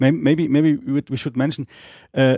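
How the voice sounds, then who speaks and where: A man with a German accent talks in a dark, mellow tone. The sound is dry and close with no echo, on a very clean recording with a silent background. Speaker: Esperanto speaker. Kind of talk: interview. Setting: at home, in person. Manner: halting, many fillers and repetitions.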